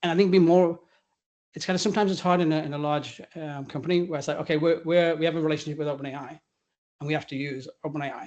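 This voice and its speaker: A man at a fairly high pitch, very fast pace, and fairly even intonation, against a quiet background. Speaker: AI technology executive. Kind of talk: fireside chat interview. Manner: casual, halting with restarts.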